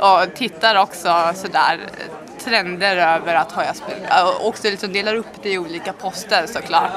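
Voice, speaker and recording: Over crowd noise and audible room echo, a woman with a fairly low voice speaks at a moderate pace with fairly even intonation. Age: 20s. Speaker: student. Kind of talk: interview.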